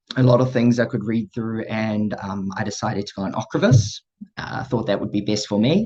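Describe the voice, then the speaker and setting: Speaking with a New Zealand accent, a man of medium pitch keeps a moderate pace and fairly even intonation. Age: 20s. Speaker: person living with MS sharing their story. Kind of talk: personal testimony talk. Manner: hesitant, many fillers.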